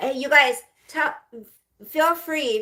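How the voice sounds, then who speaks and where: Projecting a raised voice, a woman speaks with a bright, sharp tone at a moderate pace and ordinary pitch variation. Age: 50s. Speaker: livestreamer. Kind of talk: casual live stream chat. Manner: rambling with fillers.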